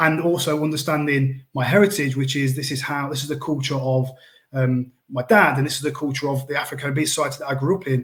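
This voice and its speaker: A man with an East Midlands accent speaks very fast. His fairly high, somewhat breathy voice keeps a fairly even intonation. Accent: Coalville (East Midlands English). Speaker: school trust leader. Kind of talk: panel discussion.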